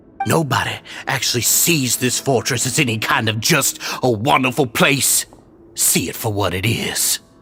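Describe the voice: In a put-on character voice, a man speaks at a moderate pace and medium pitch, his bright, sharp tone carrying a husky, rough edge over ordinary pitch variation.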